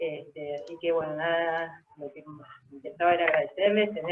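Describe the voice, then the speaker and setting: A woman speaks in a plain, everyday voice, her pitch fairly low and her intonation fairly even. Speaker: scientist presenting research. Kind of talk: webinar lecture.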